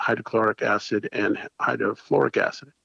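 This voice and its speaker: Moving at a moderate pace, a man is heard in a dry, close sound with no echo. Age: 60s. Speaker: small business owner and local resident activist. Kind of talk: podcast interview. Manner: halting, with many fillers.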